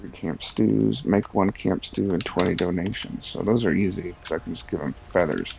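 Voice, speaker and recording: A soft-spoken man mumbles at a moderate pace in a very deep, low voice with lively intonation. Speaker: game streamer. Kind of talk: casual gameplay commentary. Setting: live stream, early morning. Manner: mumbling.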